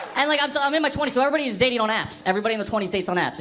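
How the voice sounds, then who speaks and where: Very fast speech from a man, with noticeable background noise and audible room echo. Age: 20s. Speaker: stand-up comedian. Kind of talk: stand-up. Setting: stage with audience.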